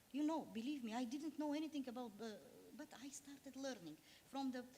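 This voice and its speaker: A woman's high-pitched voice. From Bulgaria. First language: Bulgarian. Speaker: diplomat. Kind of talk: panel discussion. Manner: halting.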